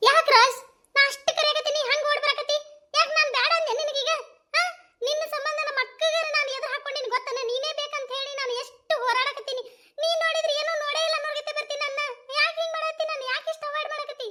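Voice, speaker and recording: Doing a put-on character voice, a woman speaks in an extremely high pitch with monotone, flat intonation at a moderate pace. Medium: comedy sketch. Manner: emotional, pleading.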